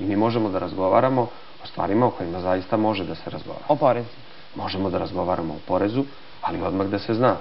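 A man's fairly low voice at a very fast pace, with ordinary pitch variation over light background noise. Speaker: interview guest. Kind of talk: interview answer. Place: studio. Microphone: lapel.

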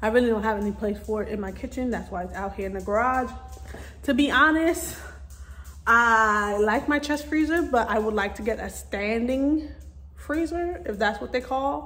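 A woman talks with lively intonation at a moderate pace. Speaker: vlogger. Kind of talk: casual vlog chat. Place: garage. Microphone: phone near.

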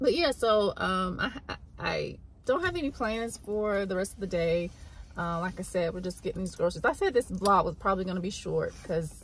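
A woman talks at a moderate pace with ordinary pitch variation. Light background noise is present, and the sound is dry with no echo. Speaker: vlogger mother. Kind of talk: casual vlog chat. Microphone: phone near.

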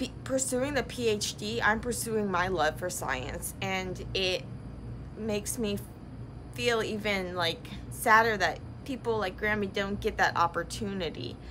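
Light background noise sits behind speech at a fairly slow pace. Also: woman. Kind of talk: casual vlog chat. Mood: reflective, a bit sad. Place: workshop. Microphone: phone near.

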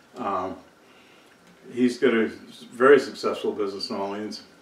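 With audible room echo, a man speaks at a fairly low pitch with fairly even intonation. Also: moderate pace.

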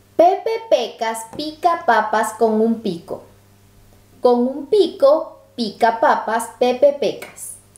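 Against noticeable background noise, a woman speaks very slowly in a high voice with lively intonation. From Latin America. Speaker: travel vlogger. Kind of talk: reading aloud.

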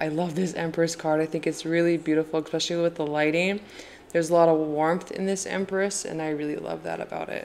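A woman's fairly low, monotone, flat voice at a very fast pace over light background noise. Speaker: tarot deck reviewer. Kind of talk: casual deck review chat. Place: home room. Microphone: phone near.

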